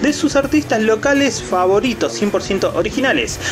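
Fairly quick speech over clear music in the background. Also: man. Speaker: comic shop vlogger. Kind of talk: casual vlog tour commentary. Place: shop. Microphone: phone near.

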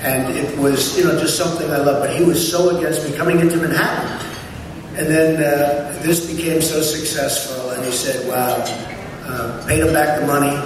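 Through noticeable background noise and strong room echo, a man speaks with monotone, flat intonation. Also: moderate pace. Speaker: speaker. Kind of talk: after-dinner speech. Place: hall. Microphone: camera far.

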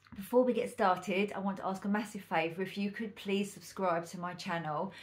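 Fairly level intonation in a somewhat breathy female voice. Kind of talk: tutorial. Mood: calm, friendly. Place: home room.

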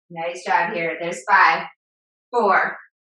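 Over light background noise and with audible room echo, a woman talks at a fairly slow pace with ordinary pitch variation. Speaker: fitness instructor. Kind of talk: live-led fitness class with countdowns and cues. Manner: upbeat, encouraging, motivating; rhythmic, brisk countdown cues. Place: home room.

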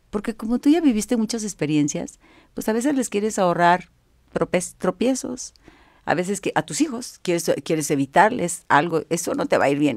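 A woman speaks at a moderate pace with very wide pitch swings, her sound dry with no echo and the background quiet. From Monterrey, northern Mexico; Mexico. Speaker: image consultant; guest. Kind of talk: interview. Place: home room. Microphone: studio mic.

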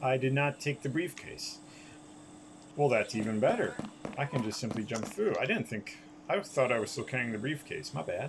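The speaker uses lively intonation at a moderate pace, with long, frequent pauses and noticeable background noise. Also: man, fairly high pitch for a man. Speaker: gaming YouTuber. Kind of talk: gameplay commentary. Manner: halting, many fillers.

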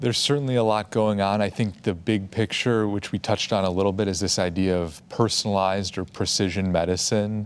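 Fairly quick and with hardly any pauses, a man speaks at fairly low pitch with fairly even intonation. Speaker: medical oncologist; panelist. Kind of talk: expert explanation on a panel. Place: studio. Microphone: lapel.

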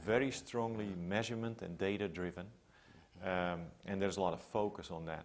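In a Dutch accent, a man with a very deep, low voice speaks at a fairly quick pace with fairly even intonation. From Netherlands, Amsterdam area. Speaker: public health researcher. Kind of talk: interview. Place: home room. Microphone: lapel.

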